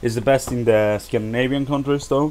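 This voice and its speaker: A man speaks at a medium pitch with ordinary pitch variation. Noticeable background noise is present. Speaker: video game reviewer. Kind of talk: gameplay tutorial. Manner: casual, halting.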